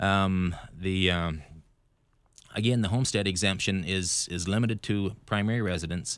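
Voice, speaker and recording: Recorded very cleanly against a silent background, a man with an American accent speaks at a very deep, low pitch. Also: fairly even intonation, moderate pace. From Idaho. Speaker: bankruptcy lawyer. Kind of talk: radio interview.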